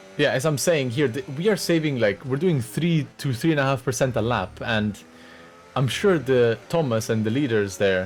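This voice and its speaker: Music plays in the background. The speaker has a French accent and lively intonation. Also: man. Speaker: sim racing driver and video commentator. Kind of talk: commentary over race highlights. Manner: casual, hesitant with fillers.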